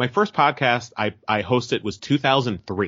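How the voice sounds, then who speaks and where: Here a man speaks in a Californian accent. His pace is moderate. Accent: Californian American. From Merced, California (Central Valley). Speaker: actor and podcaster. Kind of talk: interview. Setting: phone call.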